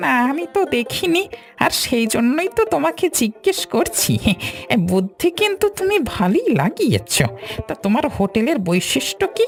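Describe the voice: With clear music in the background, a female-sounding cartoonish character voice speaks at a moderate pace with a high pitch.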